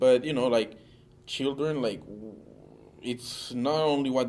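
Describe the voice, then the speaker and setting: A man with a non-native accent, fairly even intonation and a moderate pace. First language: Italian. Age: 30s. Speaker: interviewee. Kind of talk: interview. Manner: halting.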